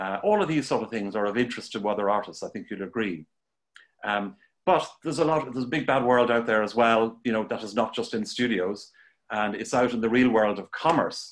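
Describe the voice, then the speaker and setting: A man speaks with an Irish accent at a medium pitch. The background is quiet. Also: ordinary pitch variation, fairly quick pace. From Ireland. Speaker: art teacher and show host. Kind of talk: live-streamed interview. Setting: Facebook Live video stream. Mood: warm, enthusiastic. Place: home room. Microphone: video call.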